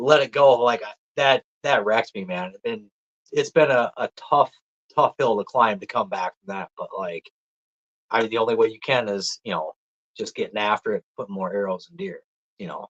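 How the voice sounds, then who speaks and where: In a strong Minnesota accent, a man speaks at a moderate pace with big swings in loudness. The sound is dry and close, with no echo. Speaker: deer hunter. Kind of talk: casual chat. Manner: animated.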